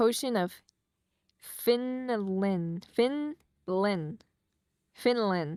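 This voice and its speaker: A woman with a medium pitch and an American accent speaks at a very slow pace, leaving long, frequent pauses. Her intonation is lively. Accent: people say she has an. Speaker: streamer's wife co-hosting a livestream. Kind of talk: casual livestream chat. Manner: halting, stumbling over words.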